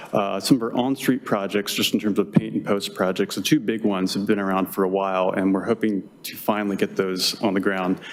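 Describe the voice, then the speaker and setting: A man's fairly low, mumbled voice at a moderate pace, with fairly even intonation. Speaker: transportation planner. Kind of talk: conference presentation. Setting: workshop with audience. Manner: mumbling; hesitant, many fillers.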